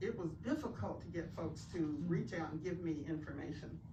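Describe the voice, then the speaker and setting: A woman with an Appalachian accent, in audible room echo. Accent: Southern US, Appalachian. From US South, western North Carolina (Andrews). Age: 70s. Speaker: community elder and author. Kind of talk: tribute speech. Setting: bookstore event with audience.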